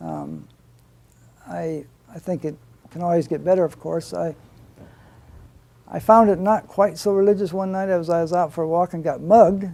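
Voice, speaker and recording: Here a man speaks with an American accent. His pitch sits high. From US Midwest, rural Iowa. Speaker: pastor. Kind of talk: interview.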